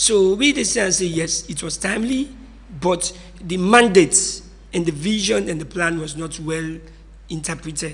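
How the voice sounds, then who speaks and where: A man's high-pitched voice amid noticeable background noise. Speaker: political commentator. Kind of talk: radio discussion.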